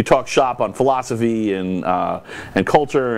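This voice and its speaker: At a fairly slow pace, a man with a medium pitch speaks with lively intonation. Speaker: talk show host. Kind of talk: casual chat. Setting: studio. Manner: loud and forceful.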